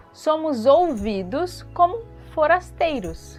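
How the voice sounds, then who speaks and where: Backed by music, a woman speaks at a high pitch with very wide pitch swings. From Brazil, Vale do Paraíba (São Paulo state). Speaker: dance and art teacher, podcaster. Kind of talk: podcast commentary.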